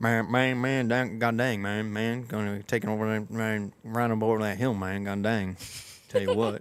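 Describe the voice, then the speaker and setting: Putting on a character voice, a man mumbles at a moderate pace, medium in pitch and monotone, with flat intonation. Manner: rambling, fast, mumbling.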